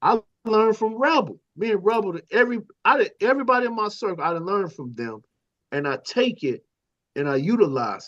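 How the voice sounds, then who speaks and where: The background stays quiet. Words come out fairly fast. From US Midwest (South Chicago / East Saint Louis). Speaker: panel guest on talk show. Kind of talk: casual discussion. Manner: animated.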